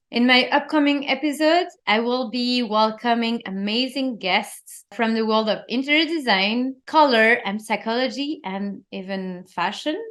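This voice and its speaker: A woman with a non-native accent speaks at a fairly slow pace and a high pitch. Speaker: interior designer and podcast host. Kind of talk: solo podcast monologue. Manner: animated.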